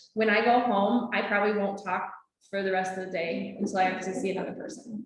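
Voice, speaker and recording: With audible room echo, a woman talks at a moderate pace. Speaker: naturalist trainer. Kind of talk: lecture. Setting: classroom with Zoom audience. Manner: animated.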